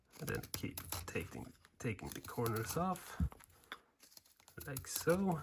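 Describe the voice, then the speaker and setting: Noticeable background noise sits behind a man speaking at a medium pitch. He goes very slowly, with long, frequent pauses. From Sweden. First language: Swedish. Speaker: woodcarving instructor. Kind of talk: tutorial. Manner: casual, hesitant in wording.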